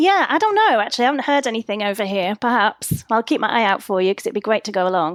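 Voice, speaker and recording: A woman's fairly high voice at a very fast pace, with lively intonation, hardly any pauses, and a dry, close sound with no echo. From England. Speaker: podcast guest, entrepreneur coach. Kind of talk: casual chat.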